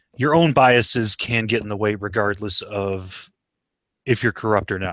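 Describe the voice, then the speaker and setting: In a very clean recording with a silent background, a man with a bright, sharp tone speaks at a moderate pace and with ordinary pitch variation. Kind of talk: casual chat.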